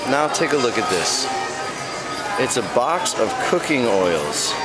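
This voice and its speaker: Loud music plays behind a man who speaks at a very slow pace. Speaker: vlogger. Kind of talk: casual vlog chat. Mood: joking, amused. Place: shop. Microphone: phone near.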